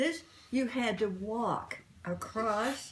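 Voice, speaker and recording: Through noticeable background noise, a woman with a fairly high voice speaks very slowly, her intonation lively. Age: 80s+. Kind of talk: oral history, casual storytelling at party.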